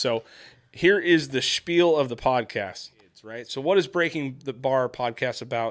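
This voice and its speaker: A man with an unremarkable speaking voice talks at medium pitch and a moderate pace, his pitch varying in an ordinary way. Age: 40s. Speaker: parenting podcast host, construction worker. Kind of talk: casual chat.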